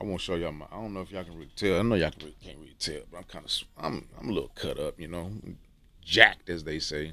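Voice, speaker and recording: Very fast and bright with a sharp tone, the speech keeps fairly even intonation but shows big swings in loudness. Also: man. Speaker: YouTuber giving dating and self-improvement advice. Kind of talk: casual monologue to camera. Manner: casual, repetitive with many fillers.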